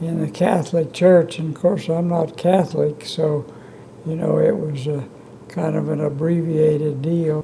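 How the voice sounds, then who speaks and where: Noticeable background noise sits behind a man with an American accent who speaks at a fairly high pitch. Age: 80s+. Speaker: retired physician and civic leader. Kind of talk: interview answer.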